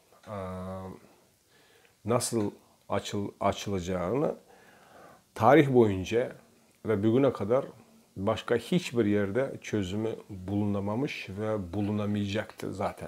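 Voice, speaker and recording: A man with a non-native accent, a fairly low pitch and ordinary pitch variation, at a very slow pace with long, frequent pauses. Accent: non-native Turkish. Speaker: religious researcher presenting Quran study. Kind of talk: lecture. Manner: halting, many fillers.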